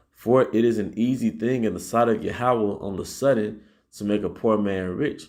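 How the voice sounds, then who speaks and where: A man's fairly low pitch and dark, mellow tone, with ordinary pitch variation and audible room echo. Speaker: Hebrew Israelite teacher. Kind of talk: sermon. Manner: halting, repeats words; says 'all right' constantly.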